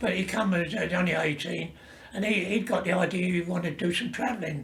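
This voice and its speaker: Over noticeable background noise and audible room echo, a man speaks at a fairly quick pace with a high pitch and ordinary pitch variation. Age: 90s. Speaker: retired seaman and army veteran. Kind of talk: oral history interview. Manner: halting.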